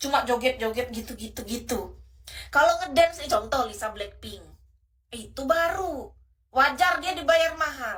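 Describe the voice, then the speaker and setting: A woman speaks in a raised, projected voice, high and shrill with a bright, sharp tone. Her intonation is lively and her pace moderate. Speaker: livestream host. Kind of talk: livestream chat with viewers. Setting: live stream. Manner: casual, chatty.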